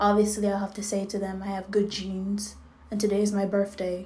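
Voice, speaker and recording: Audible room echo carries a woman's medium-pitched voice, flat and monotone, at a moderate pace. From Jamaica. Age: 20s. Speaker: podcast host. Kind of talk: casual solo monologue. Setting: at home. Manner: many filler ums.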